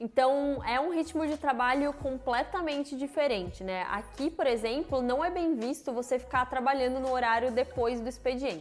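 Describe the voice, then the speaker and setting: Music behind the voice, a moderate pace, and lively intonation. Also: woman. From Brazil. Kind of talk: casual talk to camera.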